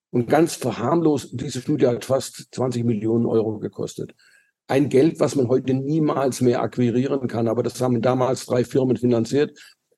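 Dark and mellow in tone, this voice keeps a moderate speed and a fairly level intonation. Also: man. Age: 70s. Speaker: physician, vascular medicine specialist. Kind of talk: interview.

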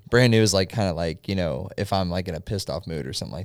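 A man talks at a very fast pace in a very deep, low pitch, with lively intonation and vocal fry. The recording is very clean with a silent background. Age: 20s. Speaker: podcaster and music fan guest. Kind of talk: casual chat.

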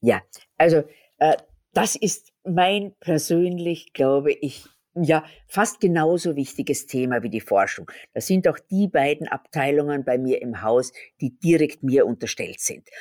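A woman speaks at a fairly slow pace in a very deep, low pitch. Her tone is dark and mellow, with lively intonation. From Austria. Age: 60s. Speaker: pharmacist and company owner. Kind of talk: interview.

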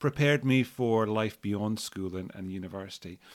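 A man's voice with ordinary pitch variation at a moderate pace, in a very clean recording with a silent background. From Scotland, Edinburgh. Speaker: school founder and CEO. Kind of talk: interview. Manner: hesitant, many fillers and repetitions.

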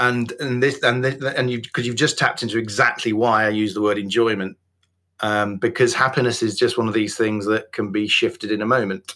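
A man with a West Yorkshire accent speaks at a fairly quick pace in a medium pitch, his tone bright and sharp, his intonation fairly even, on a very clean recording with a silent background. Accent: Yorkshire (West Yorkshire, near Wakefield). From Yorkshire, northern England. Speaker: business coach and author. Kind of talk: interview podcast, casual chat.

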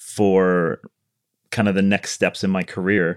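At a moderate pace, an ordinary speaking voice comes through with an American accent. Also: man. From US Midwest (Chicago). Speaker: architect. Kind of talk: casual interview.

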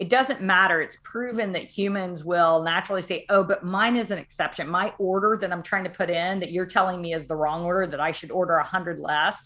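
Over noticeable background noise, a woman talks with hardly any pauses. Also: medium pitch for a woman, ordinary pitch variation, fairly quick pace. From US South, Arkansas. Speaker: tech company CEO. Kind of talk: interview. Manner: animated, many fillers.

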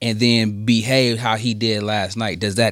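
Very clean, with a silent background, this recording has a man speaking with an American accent. He talks at a fairly slow pace and medium pitch. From Michigan. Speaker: sports podcast host. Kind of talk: casual chat. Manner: animated.

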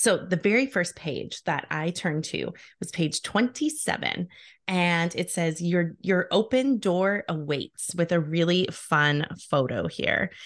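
A woman with a normal speaking voice and a fairly low pitch talks at a fairly slow pace with ordinary pitch variation against a quiet background. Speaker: podcast host. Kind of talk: casual interview.

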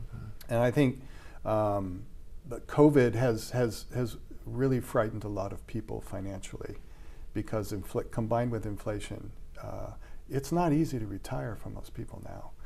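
Audible room echo surrounds a man with a General American accent and medium pitch who speaks at a moderate pace in a dark, mellow tone with vocal fry, ordinary pitch variation and big swings in loudness. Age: 60s. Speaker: media crisis trainer. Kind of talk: casual interview.

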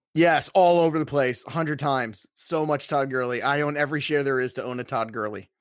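On a very clean recording with a silent background, a man with an American accent and a normal speaking voice talks at a fairly high pitch and a fairly quick pace, with ordinary pitch variation and hardly any pauses. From Brooklyn, New York. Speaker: fantasy football author and analyst. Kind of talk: casual chat.

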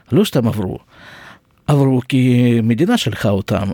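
A man with a Russian accent speaks at medium pitch in a dark, mellow tone with lively intonation, the sound dry and close with no echo on a very clean recording with a silent background. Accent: Russian-accented Hebrew. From Russia (Siberia). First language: Russian (speaking Hebrew). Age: 60s. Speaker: podcast host, nurse. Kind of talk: personal storytelling monologue. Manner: halting.

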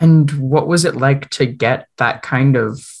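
A somewhat breathy man's voice, medium in pitch, with fairly even intonation. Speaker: student radio interviewer. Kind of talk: interview questions.

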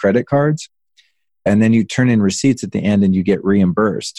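Heard dry and close with no echo, a man with an ordinary speaking voice talks at a moderate pace and a fairly low pitch. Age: 40s. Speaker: entrepreneur and former celebrity stylist. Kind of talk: interview.

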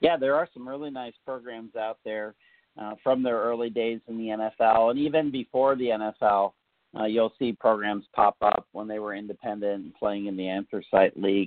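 This man has an unremarkable speaking voice at medium pitch, moving at a moderate pace with fairly even intonation and big swings in loudness. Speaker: football memorabilia collector and writer. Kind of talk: casual interview chat.

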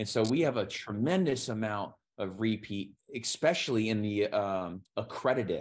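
Against a quiet background, a man with a plain, everyday voice speaks at a moderate pace, fairly low in pitch with ordinary pitch variation. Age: 30s. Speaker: real estate fund executive. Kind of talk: interview.

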